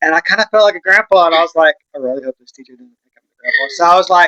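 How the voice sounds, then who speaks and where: A man talks in a Texan accent with a bright, sharp tone. The sound is dry and close, without any echo. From West Texas. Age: 40s. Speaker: vlogger. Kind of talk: casual chat.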